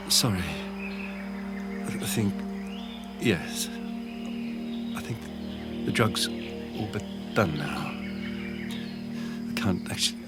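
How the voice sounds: A man's low, put-on character voice, very slow with long, frequent pauses and lively intonation, over loud background music.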